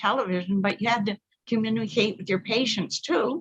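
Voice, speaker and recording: Somewhat breathy, a woman speaks at a fairly quick pace with a medium pitch and ordinary pitch variation. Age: 80s. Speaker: myotherapist and instructor. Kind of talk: casual conversation. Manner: halting.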